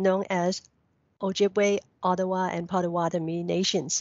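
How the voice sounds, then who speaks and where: A woman with a Cantonese accent speaks at a medium pitch and moderate pace, her intonation fairly even. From Hong Kong. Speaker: local history researcher. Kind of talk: recorded presentation.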